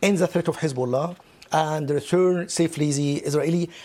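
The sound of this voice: Fairly high-pitched male voice with a slightly mellow tone and fairly even intonation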